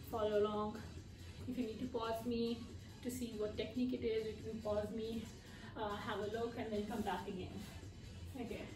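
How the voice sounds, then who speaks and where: A woman talks at a moderate pace with fairly even intonation, leaving long, frequent pauses. Clear music plays in the background. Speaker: fitness instructor. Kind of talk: tutorial. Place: home room. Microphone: camera far.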